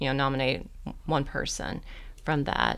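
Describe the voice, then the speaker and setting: A woman with an American accent on a very clean recording, silent background. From Oklahoma. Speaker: museum education director. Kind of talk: interview. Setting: studio.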